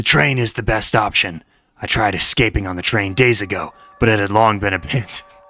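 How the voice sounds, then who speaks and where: Putting on a raspy character voice, a man speaks at a fairly low pitch and a fairly quick pace. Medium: read story.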